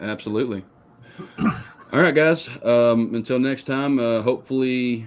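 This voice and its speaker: The speaker is a man. He has a Texan accent. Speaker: outdoors podcast host. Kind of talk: casual chat.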